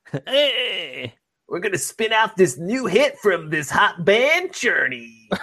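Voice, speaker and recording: Put on as a character voice, the speech is raspy, fairly high in pitch and fairly slow. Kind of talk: 1970s radio announcer style.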